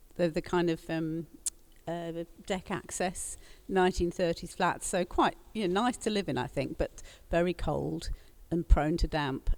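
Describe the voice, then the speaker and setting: Soft-spoken and fairly low in pitch, a woman talks at a fairly slow pace. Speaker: panelist. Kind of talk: panel discussion.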